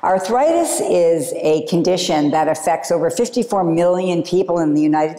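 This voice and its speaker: With an American accent, a woman talks at a moderate pace in a fairly low pitch with ordinary pitch variation over noticeable background noise. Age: 60s. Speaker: yoga teacher. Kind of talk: yoga class instruction. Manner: calm, gentle.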